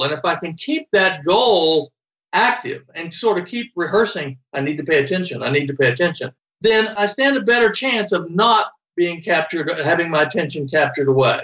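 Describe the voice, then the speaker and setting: A man talking at a fairly quick pace with very wide pitch swings. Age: 70s. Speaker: psychology professor and working memory researcher. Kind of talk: interview.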